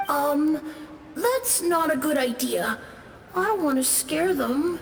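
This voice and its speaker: At a fairly slow pace, a high-pitched put-on character voice comes through clear echo and clear background noise. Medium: video game. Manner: timid, soft-spoken.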